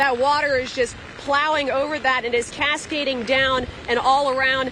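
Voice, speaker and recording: Projecting her voice at a high pitch, a woman talks at a moderate pace in a flat monotone with very even loudness, over noticeable background noise. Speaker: field reporter. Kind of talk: live field report. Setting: outdoors in hurricane. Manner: loud, yelling over wind.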